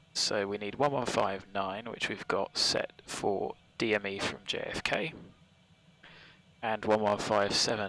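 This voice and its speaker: With a British accent, a man speaks at a fairly slow pace in a relaxed tone, his fairly low pitch held in fairly even intonation. Noticeable background noise runs behind him. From UK. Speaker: flight sim streamer. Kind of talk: live stream commentary. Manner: casual, relaxed.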